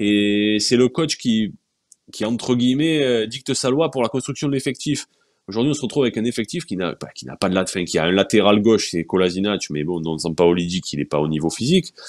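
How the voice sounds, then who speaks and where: A man's fairly low voice at a fairly quick pace, with very wide pitch swings against a quiet background. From France, Marseille. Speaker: sports journalist. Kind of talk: casual chat. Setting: video stream. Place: home room. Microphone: earbuds.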